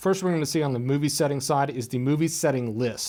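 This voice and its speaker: Fairly high in pitch, a man talks at a fairly quick pace with ordinary pitch variation, in a very clean recording with a silent background. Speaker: camera store presenter. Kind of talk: product tutorial. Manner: loud.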